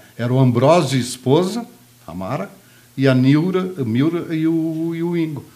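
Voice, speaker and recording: Lively intonation from a man with a fairly high pitch, a plain, everyday voice at a moderate pace. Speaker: media sales executive. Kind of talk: casual chat.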